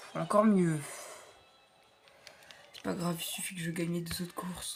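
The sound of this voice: In a put-on character voice, a woman speaks hoarsely at a moderate pace with a fairly low pitch and flat, monotone intonation while music plays in the background.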